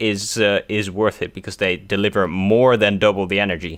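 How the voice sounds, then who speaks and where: A man is speaking. He has a Dutch accent. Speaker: gaming youtuber. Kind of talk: let's play commentary. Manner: casual, hesitant with many fillers.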